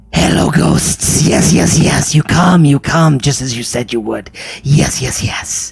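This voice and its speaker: A man puts on a character voice. He speaks in a fairly high pitch at a fairly slow pace. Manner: eager, fawning.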